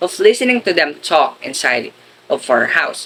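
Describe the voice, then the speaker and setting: A man speaks with a Filipino accent over light background noise. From Philippines. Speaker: education student. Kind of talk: school presentation, reading aloud. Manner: formal. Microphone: webcam.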